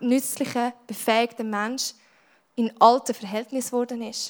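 This woman has a high pitch and a Swiss accent. Her intonation is monotone and flat. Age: 20s. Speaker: youth church speaker. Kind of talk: sermon.

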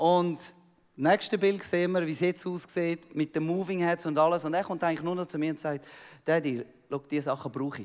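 With a Swiss accent, a man talks at a fairly quick pace in a high pitch and fairly even intonation, captured in a very clean recording with a silent background. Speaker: missionary pastor. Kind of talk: sermon. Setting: church.

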